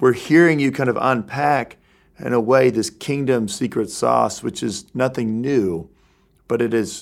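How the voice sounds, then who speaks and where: A man talks at a moderate pace and medium pitch in a plain, everyday voice. The recording is very clean, with a silent background. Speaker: podcast host, church leader. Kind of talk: interview.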